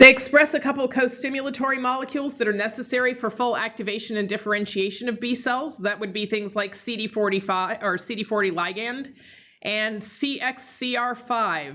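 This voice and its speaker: With a normal speaking voice, a woman talks at a fairly quick pace, her fairly high pitch showing ordinary pitch variation. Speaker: university biology lecturer. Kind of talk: lecture.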